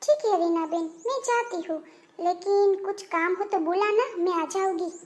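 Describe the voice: In a squeaky, cartoonish character voice, a woman talks at an extremely high pitch and a moderate pace with ordinary pitch variation.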